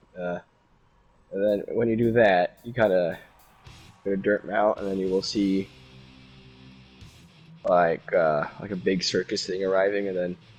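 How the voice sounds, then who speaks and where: Music plays in the background as a man talks with long, frequent pauses. His pitch is fairly low and his intonation fairly even. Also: fairly slow pace. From Norway. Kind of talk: casual gaming chat. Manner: rambling, hesitant.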